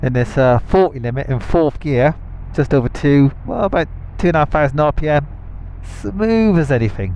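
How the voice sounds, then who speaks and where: Over noticeable background noise, a man with a British accent speaks at a moderate pace, his fairly high pitch carrying lively intonation. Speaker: motorcycle vlogger. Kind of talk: casual unscripted talk while riding. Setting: helmet microphone, outdoors.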